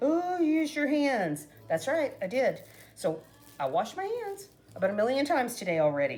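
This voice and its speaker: A woman talks at a moderate pace in an animated tone. Her pitch swings very widely. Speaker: cooking vlogger. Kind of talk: casual cooking tutorial. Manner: chatty, animated.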